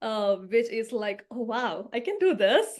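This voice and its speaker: With a Keralan accent, a woman speaks in a high pitch at a moderate pace, her pitch varying in an ordinary way. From southern India (Kerala region). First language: Malayalam. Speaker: garden consultant. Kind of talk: podcast interview.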